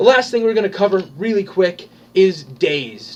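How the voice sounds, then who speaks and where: This man speaks loudly in a high pitch. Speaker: tabletop gaming video host. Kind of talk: tutorial. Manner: casual, with many fillers.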